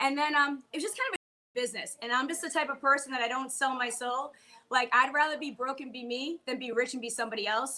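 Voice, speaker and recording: Projecting a raised voice with a Boston accent, a woman talks very fast at a high pitch, her tone bright and sharp with ordinary pitch variation. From Boston, US. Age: 40s. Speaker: comedian and bartender. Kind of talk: casual chat.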